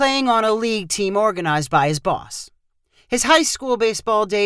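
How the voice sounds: A natural reading voice with lively intonation and a quiet background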